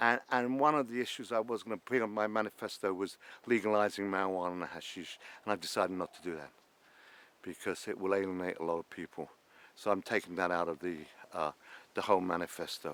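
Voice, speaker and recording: A man with a London accent speaks very fast in a very deep, low voice, his pitch moving in an ordinary way. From London, England. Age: 60s. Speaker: former traveller and cab business founder. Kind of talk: documentary interview.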